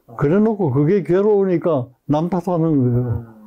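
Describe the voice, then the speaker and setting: At a moderate pace, a man's voice moves through very wide pitch swings. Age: 80s+. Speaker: psychiatrist. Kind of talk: interview answer.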